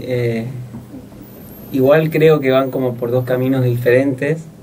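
A man's somewhat breathy voice with a dark, mellow tone over light background noise. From Corrientes, Argentina. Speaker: young poet. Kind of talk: interview; poetry reading. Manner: halting. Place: studio. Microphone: studio mic.

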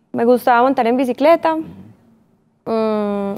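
With an Antioquian accent, the speaker uses a dark, mellow tone, a moderate pace and ordinary pitch variation. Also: woman. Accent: Colombian paisa (Antioquia) Spanish. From Colombia, Medellín. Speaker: visual artist and former model. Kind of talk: interview. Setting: studio. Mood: calm, reflective. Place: studio. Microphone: lapel.

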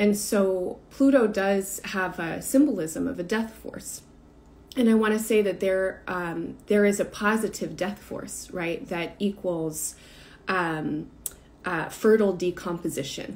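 Her pace is fairly slow and her pitch varies in an ordinary way as the woman speaks. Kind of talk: reflective talk on a live stream. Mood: calm, thoughtful. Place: home room. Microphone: phone near.

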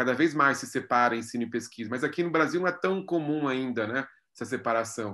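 Bright, sharp tone from a man at medium pitch, ordinary pitch variation, a fairly quick pace and a quiet background. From Brazil, São Paulo. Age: 40s. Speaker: art curator and philosophy professor; philosophy professor. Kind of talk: interview. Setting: video call. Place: home room. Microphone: video call.

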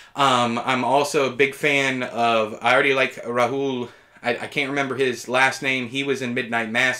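The background is quiet. A man talks with a bright, sharp tone. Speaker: TV reviewer. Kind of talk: review commentary. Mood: opinionated, mildly exasperated. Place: home room.

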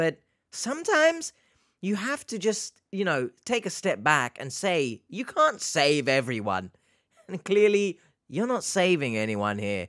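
Against a quiet background, a man with a British accent speaks in a bright, sharp tone at a fairly slow pace, his pitch swinging very widely. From UK. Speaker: reaction YouTuber. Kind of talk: casual reaction commentary. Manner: animated. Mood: sarcastic, mocking.

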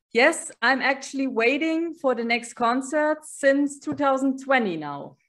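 This woman has a German accent and a high voice. She talks very slowly, with ordinary pitch variation. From Germany. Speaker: band superfan, office clerk; interviewee. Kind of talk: casual interview. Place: home room. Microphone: video call.

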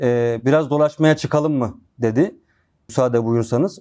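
His tone is dark and mellow. The man speaks at a fairly slow pace with ordinary pitch variation. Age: 30s. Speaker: former religious student. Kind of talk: testimony.

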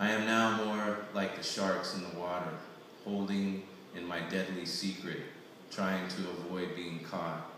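Over light background noise and strong room echo, a man with a very deep, low pitch speaks in a monotone, flat intonation at a fairly slow pace. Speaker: poet reading own work. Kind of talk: poetry reading. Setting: live reading at poetry event. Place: hall. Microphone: camera far.

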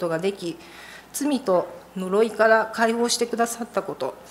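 Moderate pace and ordinary pitch variation over light background noise. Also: woman. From Japan. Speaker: church member. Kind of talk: testimony. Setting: church. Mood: earnest, calm. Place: church. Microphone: podium.

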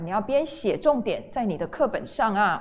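Her pitch swings very widely as the woman speaks. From Taiwan. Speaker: junior high English teacher. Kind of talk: online lecture. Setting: livestream. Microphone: studio mic.

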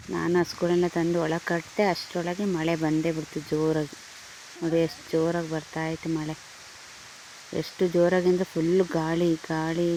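Noticeable background noise sits behind a woman's voice. She speaks at a fairly low pitch with monotone, flat intonation. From Hassan, Karnataka. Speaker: village vlogger. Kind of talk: casual vlog narration.

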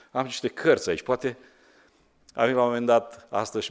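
This man talks rather quickly. Nothing much stirs in the background. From Romania. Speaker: pastor. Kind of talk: sermon. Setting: church. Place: church. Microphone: podium.

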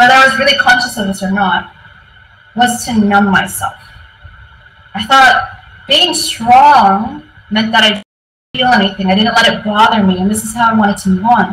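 A woman's fairly high voice with an American accent, ordinary pitch variation and a moderate pace, plus audible room echo and faint background music. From US West Coast, San Francisco; California. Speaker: tech team lead, conference speaker; conference speaker. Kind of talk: conference talk. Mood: reflective, personal storytelling. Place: office. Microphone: webcam.

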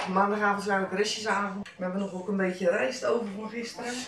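Noticeable background noise is present. A woman speaks at a very fast pace with fairly even intonation. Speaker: daily vlogger. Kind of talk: casual vlog chat. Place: kitchen. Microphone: camera far.

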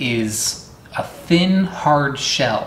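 Noticeable background noise sits behind this man. His pitch varies in an ordinary way. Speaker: fruit explorer host. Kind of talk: casual vlog tutorial. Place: home room. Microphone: phone near.

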